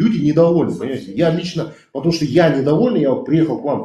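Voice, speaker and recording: Very fast and full of vocal fry, a man's dark, mellow voice rings with audible room echo. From Kazakhstan. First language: Kazakh (speaking Russian). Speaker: activist. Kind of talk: heated debate. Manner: animated.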